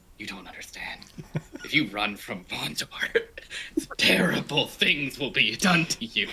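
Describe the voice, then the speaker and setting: A raspy, put-on character voice at low-to-middle pitch, moving at a fairly slow pace. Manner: very serious.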